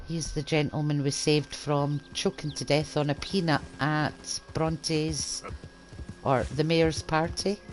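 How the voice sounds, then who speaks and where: A woman with a very deep, low pitch talks at a fairly slow pace with fairly even intonation over noticeable background noise. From east coast Scotland. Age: old. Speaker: gaming streamer. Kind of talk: game commentary. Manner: casual.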